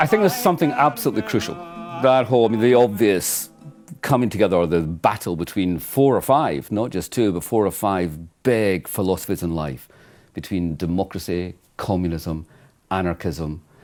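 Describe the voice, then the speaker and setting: A man speaks at a moderate pace with lively intonation. Music plays in the background. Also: fairly low pitch for a man. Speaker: writer. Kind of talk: interview answer.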